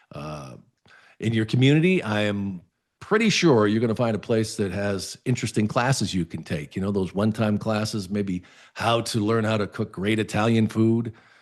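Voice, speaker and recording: In a quiet background, a man with an ordinary speaking voice talks at a moderate pace, his fairly low pitch showing ordinary pitch variation. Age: 60s. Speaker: lifestyle show host. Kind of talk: advice talk to camera. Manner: casual, conversational with fillers.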